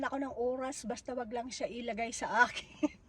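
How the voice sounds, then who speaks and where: A woman's high voice with fairly even intonation at a moderate pace. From Philippines. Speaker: personal support worker and vlogger. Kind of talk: casual vlog storytelling. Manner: halting, many fillers.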